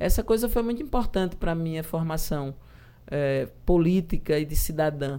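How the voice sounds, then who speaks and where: A woman speaks with a fairly low pitch and a dark, mellow tone. Her pace is moderate and her intonation lively. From João Pessoa, Paraíba, Brazil. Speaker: politician. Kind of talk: interview.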